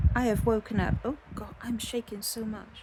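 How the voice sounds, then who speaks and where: There is noticeable background noise behind a voice with a British accent. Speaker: yarn dyer and crafting vlogger. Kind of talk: casual vlog. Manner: halting.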